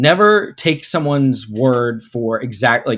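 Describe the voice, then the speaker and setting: This man has an unremarkable speaking voice with an American accent. His pitch is medium and his intonation lively. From Pittsburgh, US. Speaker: sports marketing executive. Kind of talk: interview. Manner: filler-heavy, repetitive.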